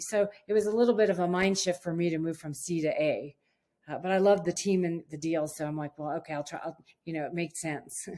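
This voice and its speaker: In an unremarkable speaking voice, a woman talks at a fairly quick pace and fairly low pitch. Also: ordinary pitch variation. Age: 60s. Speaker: real estate investor. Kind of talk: interview. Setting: call.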